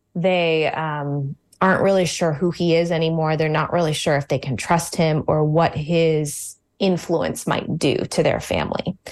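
Her pitch is very deep and low. The woman speaks at a moderate pace in a flat, monotone way. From Virginia, suburbs of Washington DC. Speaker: novelist and high school English teacher. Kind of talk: radio interview.

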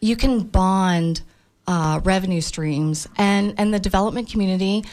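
In a very clean recording with a silent background, a woman talks at a fairly slow pace in a normal speaking voice. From Tampa, Florida. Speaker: building industry consultant. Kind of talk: radio panel discussion. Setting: radio studio.

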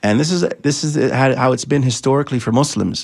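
The recording is very clean with a silent background, carrying a man's ordinary speaking voice at a medium pitch. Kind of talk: faith-based discussion. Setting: radio studio.

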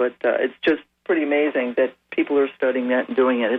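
Here is a man with a normal speaking voice at medium pitch. He talks at a fairly quick pace. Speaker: caller. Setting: phone call.

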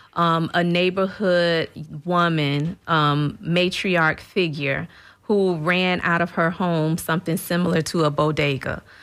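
This is an ordinary speaking voice with an American accent, moving at a fairly slow pace. The intonation is fairly even and the loudness very even. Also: woman, fairly low pitch for a woman. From St. Petersburg, Florida. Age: 50s. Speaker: nonprofit CEO. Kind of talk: radio interview.

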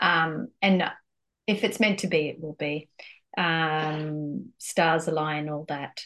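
Very slow speech in an Australian accent with ordinary pitch variation. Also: woman, very deep, low pitch for a woman. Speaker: musician. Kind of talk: casual interview chat. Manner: animated, enthusiastic.

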